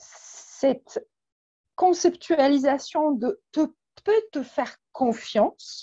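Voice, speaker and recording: A woman with a Polish accent speaks very slowly with long, frequent pauses, her high-pitched voice dark and mellow in tone, with lively intonation and a dry, close sound with no echo. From Poland. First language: Polish (speaking French). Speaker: weight and emotions coach. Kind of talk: interview. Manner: hesitant, many fillers.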